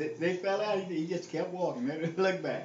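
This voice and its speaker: A man with an American accent, lively intonation and a moderate pace, over noticeable background noise. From Southern US (Texas). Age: 70s. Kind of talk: casual reminiscing on a phone call.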